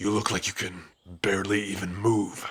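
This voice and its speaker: In a put-on character voice, a man speaks at a moderate pace with a fairly low pitch, a raspy, gruff sound and monotone, flat intonation. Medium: solo performance. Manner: gruff, dismissive, frequent sighs.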